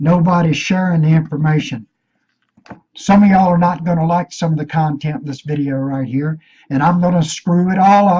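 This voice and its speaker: Somewhat breathy, with a dark, mellow tone, the woman talks at a fairly low pitch with ordinary pitch variation. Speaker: conspiracy video maker. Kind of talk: conspiracy rant vlog.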